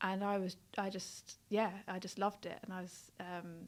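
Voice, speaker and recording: In a London accent, a woman speaks with flat, monotone intonation. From South London. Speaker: nurse. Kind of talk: interview testimony.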